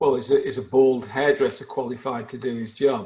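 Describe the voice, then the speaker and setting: A man with an English accent speaks at a medium pitch. His pace is fairly quick and his intonation fairly even. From England. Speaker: life coach. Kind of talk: casual interview.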